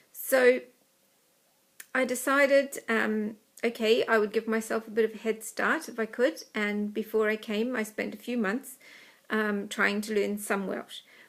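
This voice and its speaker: A woman with a New Zealand accent speaks at a fairly slow pace and fairly high pitch, her intonation fairly even, in a very clean recording with a silent background. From New Zealand, small country town. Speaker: Welsh learner. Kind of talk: personal talk. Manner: hesitant, many filler ums.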